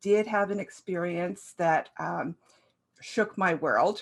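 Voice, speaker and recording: Very slow speech from a woman in a medium-pitched voice, its pitch variation ordinary. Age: 60s. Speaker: life coach. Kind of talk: motivational talk. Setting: stage at a summit. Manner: halting with fillers.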